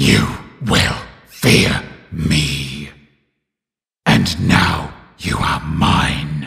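A man puts on a character voice, very deep and low in pitch. He speaks at a very slow pace with long, frequent pauses. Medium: video game. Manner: threatening, sinister.

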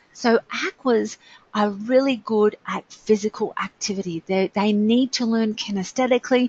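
A woman speaks at a moderate pace in a somewhat breathy, fairly high-pitched voice. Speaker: webinar presenter. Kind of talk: enthusiastic, informal teaching.

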